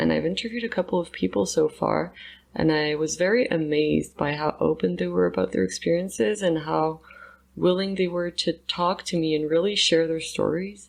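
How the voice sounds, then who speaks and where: Over a quiet background, a woman with a very deep, low pitch talks at a moderate pace with very wide pitch swings. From Montreal, Quebec. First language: French. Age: 20s. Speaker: anthropology student and podcast host. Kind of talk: casual self-interview monologue.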